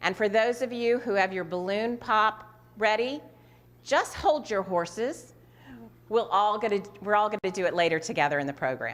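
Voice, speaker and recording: Over noticeable background noise, a woman speaks with a fairly high pitch and lively intonation. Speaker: nonprofit executive director. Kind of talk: event hosting. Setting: virtual gala livestream.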